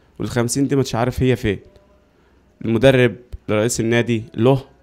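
A man with an Egyptian accent at a moderate pace, fairly even intonation and faint music in the background. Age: 20s. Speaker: footballer. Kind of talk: interview testimony. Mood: frustrated, complaining about contracts. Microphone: handheld.

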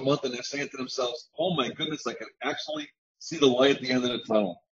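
The background stays quiet. The voice is a man's. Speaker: network marketing member. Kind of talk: testimony. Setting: video call. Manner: animated. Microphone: video call.

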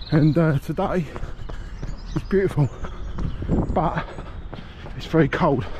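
Noticeable background noise accompanies a man whose intonation stays fairly even, the sound dry with no echo. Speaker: runner vlogger. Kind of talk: casual vlog chat. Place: street. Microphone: phone near.

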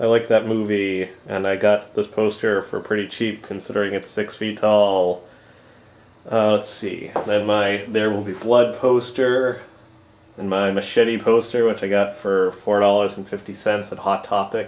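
A man talks at a fairly slow pace with a fairly low pitch. His intonation is monotone and flat. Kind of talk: casual room tour narration. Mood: joking, deadpan. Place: home room. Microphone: phone near.

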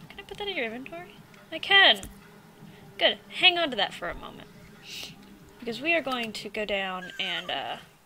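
Noticeable background noise sits under speech at a moderate pace with long, frequent pauses. Loudness swings widely, and so does pitch. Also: woman, high pitch for a woman. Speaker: gaming video creator. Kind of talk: let's play commentary. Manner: animated.

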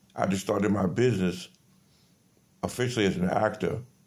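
A fairly low male voice. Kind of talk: rambling monologue. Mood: aggrieved, accusatory. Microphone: phone near.

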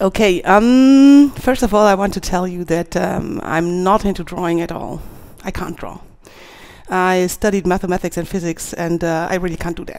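Her pace is moderate. This woman speaks with ordinary pitch variation. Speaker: conference speaker. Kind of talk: conference talk. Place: stage. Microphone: headset.

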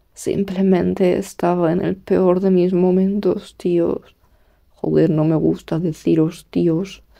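Speaking very slowly, a woman uses a fairly low, dark and mellow voice with flat, monotone intonation and very even loudness. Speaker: YouTuber. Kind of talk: casual monologue.

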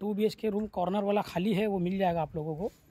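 A man's high-pitched voice, monotone with flat intonation, at a moderate pace. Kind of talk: casual property walkthrough narration. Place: street. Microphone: phone near.

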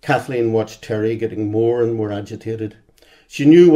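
The clip features a natural reading voice.

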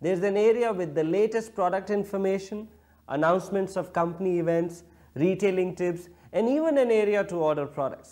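A man speaks at a fairly quick pace. His pitch is high, and the background is quiet. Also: ordinary pitch variation. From India. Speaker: direct-selling distributor, training presenter. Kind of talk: scripted training video narration. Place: home room.

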